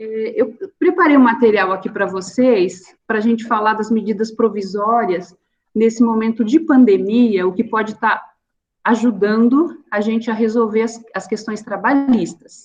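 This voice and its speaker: A woman speaks fairly slowly in a fairly high, somewhat breathy voice. Her pitch varies in an ordinary way. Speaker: labor lawyer and business owner. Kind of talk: online seminar talk. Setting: online video meetup.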